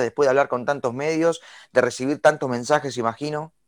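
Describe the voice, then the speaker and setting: A man in a Rioplatense accent at a fairly quick pace, fairly high in pitch with ordinary pitch variation, on a very clean recording with a silent background and a dry, close sound with no echo. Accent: Argentine Spanish (rioplatense). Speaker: radio host. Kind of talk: radio interview.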